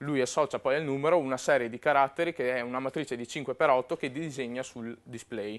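A man talks with hardly any pauses. His intonation stays fairly even. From Verona, northern Italy; northern Italy. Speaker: web and mobile programmer, conference speaker; conference speaker. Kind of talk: conference talk. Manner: hesitant, with fillers. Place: hall. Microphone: lapel.

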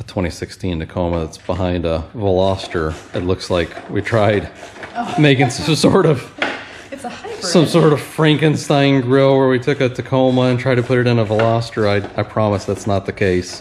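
Light background noise behind a man's moderately paced voice. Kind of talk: casual commentary. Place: garage.

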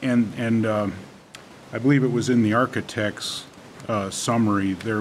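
A man talks at a moderate pace over light background noise. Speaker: village trustee. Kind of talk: public meeting. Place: meeting room. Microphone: podium.

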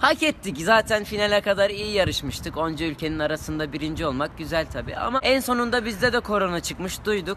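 A man speaks fairly quickly in a raised, projected voice over light background noise. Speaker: comedian playing street interviewee. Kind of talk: comic monologue as interview answer. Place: street. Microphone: phone near.

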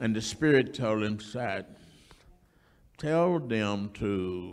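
A man speaks at a very slow pace. His pitch is fairly low, with ordinary pitch variation. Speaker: church elder, announcer; announcer. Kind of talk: church announcements and remarks. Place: church. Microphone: handheld.

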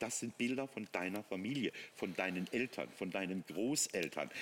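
A man with lively intonation and vocal fry. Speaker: technology product expert. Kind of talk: teleshopping product demonstration. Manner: animated.

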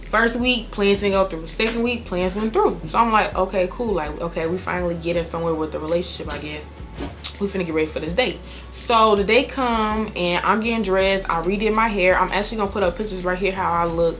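Clear music plays in the background. Over it, a woman speaks at a very fast pace. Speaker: storytime vlogger. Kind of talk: casual vlog chat. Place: home room.

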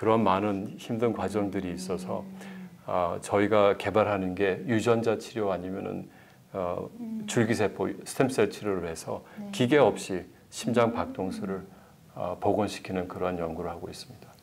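At a moderate pace, a man speaks at a fairly low pitch with fairly even intonation. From South Korea. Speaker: medical researcher, professor; professor. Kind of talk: interview. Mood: calm, explanatory. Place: studio. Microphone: lapel.

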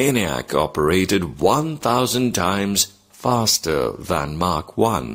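A man's very deep, low voice with vocal fry swings very widely in pitch at a very slow pace on a very clean recording with a silent background. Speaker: teacher. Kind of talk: reading aloud.

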